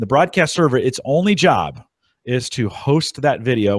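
In a very clean recording with a silent background and a dry, close sound with no echo, a man with a plain, everyday voice speaks at a moderate pace with lively intonation. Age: 40s. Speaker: podcast host. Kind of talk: casual chat. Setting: live video stream.

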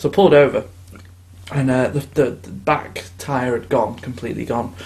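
This man has a British accent. There is a somewhat breathy quality to his speech. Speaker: podcast host. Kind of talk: casual chat.

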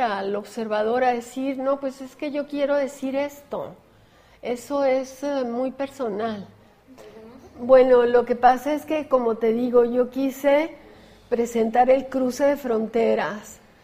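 At a very slow pace, a woman speaks in a high pitch with fairly even intonation. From Chihuahua, northern Mexico. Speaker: visual artist. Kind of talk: interview.

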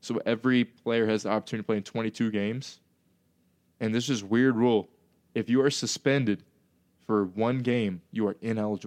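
The speaker moves at a fairly quick pace with fairly even intonation and long, frequent pauses, recorded dry and close with no echo against a quiet background. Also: man, medium pitch for a man. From North Carolina. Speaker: podcast host, amateur Australian football player. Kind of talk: casual chat.

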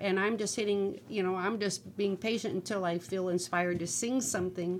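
A woman speaks in an ordinary speaking voice with an American accent. Her pitch is medium, her pace moderate and her intonation fairly even. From northwest Ohio. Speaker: singer-songwriter. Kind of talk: casual chat.

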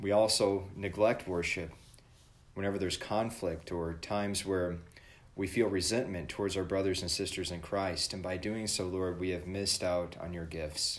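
Monotone and flat, a man with a very deep, low voice speaks at a moderate pace. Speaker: church podcast host leading devotion. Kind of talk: devotional with prayer and scripture reading; fervent prayer, earnest and reverent. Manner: formal, warm.

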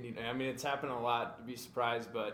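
A man with a Minnesota accent speaks at a medium pitch, with noticeable background noise behind him. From Minnesota (Maple Grove). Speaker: soccer player. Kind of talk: interview. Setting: studio.

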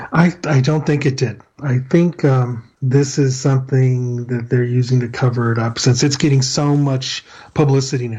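With an American accent, a man talks with hardly any pauses in a somewhat breathy voice, his tone dark and mellow and his intonation fairly even. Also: medium pitch for a man, moderate pace. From El Paso, Texas. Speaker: retired police officer. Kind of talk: casual chat.

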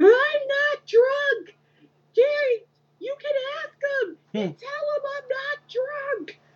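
A woman uses a put-on character voice that is squeaky and extremely high-pitched. She speaks very slowly, with big swings in loudness.

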